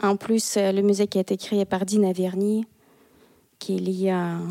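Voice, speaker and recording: A woman speaks with a Russian accent at a fairly slow pace, her pitch in the medium range. Her tone is dark and mellow, and the sound is dry and close with no echo. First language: Russian (speaking French). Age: 30s. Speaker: embroidery artist. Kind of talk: casual interview. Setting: her art studio.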